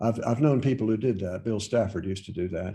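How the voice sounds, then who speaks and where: With an American accent, a man speaks at a fairly low pitch in a dark, mellow, somewhat breathy tone. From Virginia, Loudoun County. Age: 70s. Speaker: poet. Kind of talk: interview answers. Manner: halting, many fillers.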